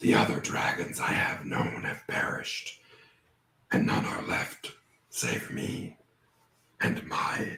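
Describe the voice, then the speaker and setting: A man's put-on character voice with a slight echo. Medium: actual play. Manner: slow, formal, archaic speech; often chuckling.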